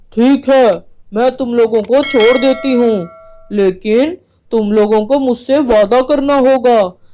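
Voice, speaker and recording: A woman does a cackling, put-on character voice at a high pitch with ordinary pitch variation. She goes at a fairly slow pace with very even loudness. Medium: cartoon. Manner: cackling, domineering.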